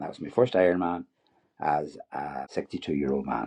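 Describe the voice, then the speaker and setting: Very wide pitch swings run through this man's very deep, low voice, delivered with an Irish accent. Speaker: retired dentist and triathlete. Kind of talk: podcast interview. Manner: halting, many repeated words.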